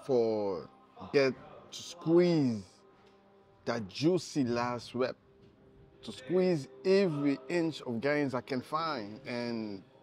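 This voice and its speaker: A man at a very slow pace, long, frequent pauses, big swings in loudness, and faint music in the background. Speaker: fitness vlogger. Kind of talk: casual vlog chat. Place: gym. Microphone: lapel.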